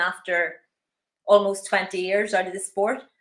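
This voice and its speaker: With a Northern Irish accent, a woman of medium pitch talks at a fairly quick pace. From Northern Ireland, Belfast. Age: 50s. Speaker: masters athlete and personal trainer. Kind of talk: interview.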